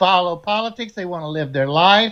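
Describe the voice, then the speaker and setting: Against a quiet background, a man speaks in a bright, sharp tone with very wide pitch swings. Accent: Alabama. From US South, Alabama. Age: 60s. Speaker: Navy veteran. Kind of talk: live panel political discussion. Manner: animated.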